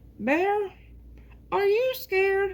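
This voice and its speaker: Putting on a character voice, a man goes squeaky and extremely high-pitched. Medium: read story. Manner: confident, matter-of-fact.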